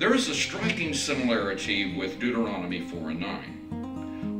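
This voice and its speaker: Clear music plays in the background while the man talks. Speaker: church minister. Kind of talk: sermon-style teaching and personal story. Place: studio.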